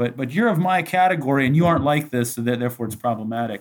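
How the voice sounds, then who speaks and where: A normal speaking voice from a man with an American accent, fairly quick in pace and with ordinary pitch variation. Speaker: graduate student. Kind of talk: casual chat.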